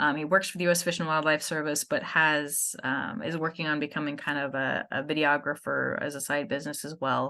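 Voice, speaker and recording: Against a quiet background, a woman with a very deep, low pitch and a bright, sharp tone talks at a moderate pace with fairly even intonation. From far northern California, Yurok country. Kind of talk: presentation talk.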